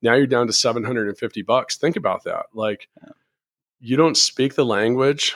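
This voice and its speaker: A man with a normal speaking voice talks at a fairly slow pace in a medium pitch. The sound is dry and close, with no echo. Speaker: podcast host. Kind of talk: casual interview.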